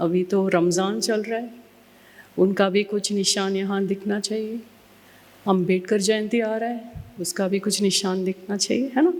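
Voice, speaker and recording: A woman's medium-pitched voice with fairly even intonation. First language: Tamil (speaking Hindi). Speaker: trust founder, mental health activist. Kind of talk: keynote address. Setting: stage with audience. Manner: halting, many fillers.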